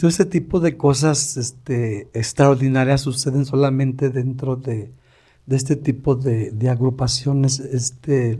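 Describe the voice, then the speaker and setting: Somewhat breathy and dark, mellow in tone, this voice moves along at a fairly slow tempo. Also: man, medium pitch for a man, fairly even intonation. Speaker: recovery group sponsor. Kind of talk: casual talk to a recovery community. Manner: halting, repeats words.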